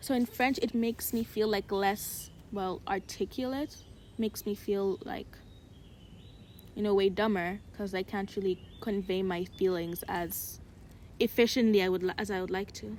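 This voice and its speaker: A woman's medium-pitched voice with an American accent, fairly even intonation, a moderate pace, and long, frequent pauses. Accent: somewhat American-sounding English. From Uganda. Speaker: podcast co-host. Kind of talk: casual chat.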